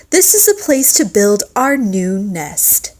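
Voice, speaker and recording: A woman puts on a character voice, pitched high, with very wide pitch swings. She delivers it at a fairly slow pace. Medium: read story.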